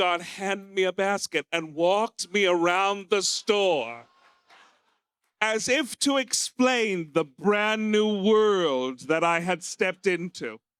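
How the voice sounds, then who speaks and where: A man's high-pitched voice with an American accent, very slow and lively in intonation, at a very even loudness, in a dry, close sound with no echo. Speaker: stand-up comedian. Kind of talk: stand-up. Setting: stage with audience.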